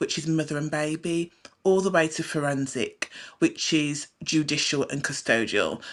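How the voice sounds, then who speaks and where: A woman with a British accent speaks at a fairly slow pace in a very deep, low voice. The recording is very clean, with a silent background. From Britain. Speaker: psychiatric nurse and hypnotherapist. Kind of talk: talk show interview.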